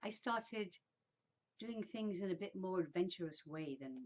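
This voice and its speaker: A woman with an English accent, very wide pitch swings, a moderate pace and long, frequent pauses. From England, Birmingham and a new town near London. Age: 60s. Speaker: vlogger. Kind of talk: personal storytelling monologue. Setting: indoors, sitting in a room. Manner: casual, with hesitations.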